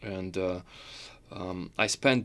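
At a very slow pace, a man with a Russian accent speaks at a very deep, low pitch on a very clean recording with a silent background. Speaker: concert pianist. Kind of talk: interview. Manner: halting, many fillers.

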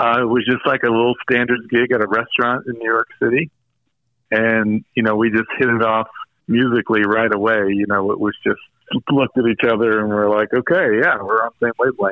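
In a plain, everyday voice with an American accent, a man speaks at a fairly quick pace and medium pitch, his loudness very even and his intonation fairly even. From US South (Greensboro, North Carolina). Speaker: guitarist and producer. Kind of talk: casual chat.

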